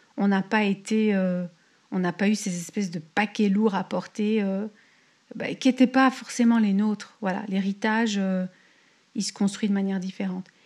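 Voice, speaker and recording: A woman with a medium-pitched, somewhat breathy voice talks at a moderate pace with fairly even intonation and long, frequent pauses. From France (Paris). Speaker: expat entrepreneur. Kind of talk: interview about her life story. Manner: hesitant, many fillers and repetitions.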